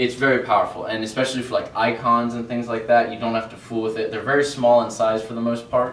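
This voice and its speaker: Over noticeable background noise and audible room echo, a man talks very fast with fairly even intonation. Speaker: web developer presenter. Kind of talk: meetup tech presentation. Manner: casual, filler-heavy.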